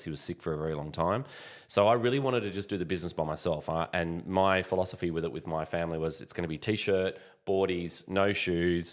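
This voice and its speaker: On a very clean recording with a silent background, a man with an Australian accent talks at a very fast pace in a very deep, low voice. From Australia, Sydney. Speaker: business founder. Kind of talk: podcast interview.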